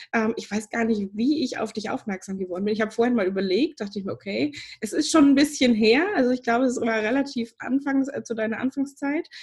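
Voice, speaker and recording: With lively intonation and hardly any pauses, the speaker races along at a very fast pace over noticeable background noise. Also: woman, fairly high pitch for a woman. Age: 30s. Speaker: podcast host, business coach. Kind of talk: podcast interview.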